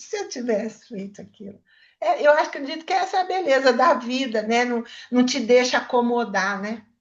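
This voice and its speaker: A high-pitched woman's voice at a moderate pace. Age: 70s. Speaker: therapist. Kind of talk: book club discussion.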